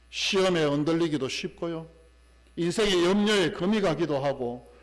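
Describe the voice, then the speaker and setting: At a fairly slow pace, a man with a high pitch and lively intonation speaks amid audible room echo and noticeable background noise. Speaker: pastor. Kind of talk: sermon.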